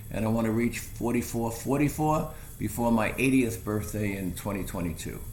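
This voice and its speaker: A man with an American accent at a medium pitch, moderate pace and ordinary pitch variation, with audible room echo. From New York. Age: 70s. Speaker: hiking guide and photographer. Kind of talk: interview. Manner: halting, many fillers.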